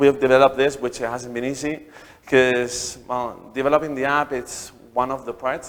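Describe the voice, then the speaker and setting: A man speaks with a Spanish accent at a medium pitch and a moderate pace. His intonation stays fairly even. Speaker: startup founder. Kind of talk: talk to an audience. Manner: halting, many repeated words.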